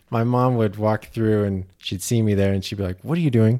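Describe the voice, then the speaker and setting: In a Utah accent, the voice has a dark, mellow tone with a dry, close sound and no echo. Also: man. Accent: American, Utah. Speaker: freelance animator and graphic designer. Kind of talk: interview.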